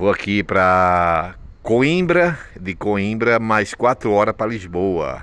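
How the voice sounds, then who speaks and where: A man's fairly low voice at a very slow pace with lively intonation. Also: dry sound with no echo. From Brazil. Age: 50s. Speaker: vlogger; traveller vlogger. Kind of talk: casual vlog monologue. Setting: train station. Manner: halting, repetitive. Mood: worried, complaining. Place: station. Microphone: phone near.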